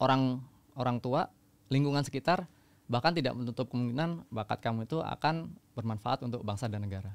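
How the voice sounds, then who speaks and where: Talking at a very fast pace, a man speaks with ordinary pitch variation. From Central Java, Magelang; Central Java, Indonesia. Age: 30s. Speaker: long-distance runner and army officer; podcast guest. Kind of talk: interview storytelling. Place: studio. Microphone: studio mic.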